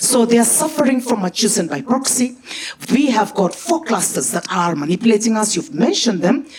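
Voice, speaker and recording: Noticeable background noise sits behind a woman with a high pitch. She speaks at a moderate pace in an animated tone. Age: 60s. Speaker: audience member. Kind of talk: audience question.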